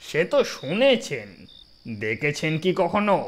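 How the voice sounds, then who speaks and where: Using a put-on character voice, the speaker goes at a fairly slow pace with very wide pitch swings. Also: man, high pitch for a man. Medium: audio drama. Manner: dismissive, argumentative, mocking.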